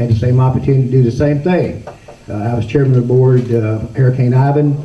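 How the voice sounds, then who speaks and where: A man with a Southern US accent talks at a very fast pace in a medium pitch, his intonation fairly even, with audible room echo and noticeable background noise. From Chumuckla, Florida panhandle. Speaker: county commissioner. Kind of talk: campaign speech at a candidate forum. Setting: public meeting with audience.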